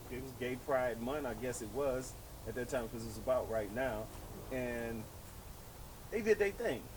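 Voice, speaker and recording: A man speaks at a moderate pace and medium pitch with ordinary pitch variation, pausing long and often. His loudness swings widely, and audible room echo is present. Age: 60s. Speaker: podcast host and former DJ. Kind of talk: casual chat.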